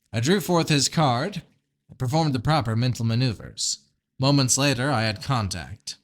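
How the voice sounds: A natural reading voice carries ordinary pitch variation over a quiet background.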